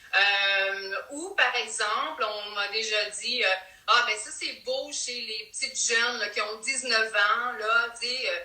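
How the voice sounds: With a Quebec accent, a woman speaks at a fairly high pitch and a fairly slow pace, with ordinary pitch variation. Her tone is bright and sharp, and audible room echo is present.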